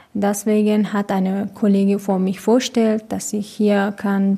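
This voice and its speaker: With a Persian accent, a woman speaks at medium pitch. Her intonation is monotone and flat. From Iran. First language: Persian (speaking German). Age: 20s. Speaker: hostel resident. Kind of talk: interview. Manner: halting.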